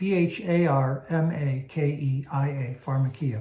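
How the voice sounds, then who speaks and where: In a room with audible echo, a man with a fairly high, somewhat breathy voice and a dark, mellow tone speaks with ordinary pitch variation. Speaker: Bible teacher. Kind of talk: teaching lecture. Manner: slow; hesitant fillers.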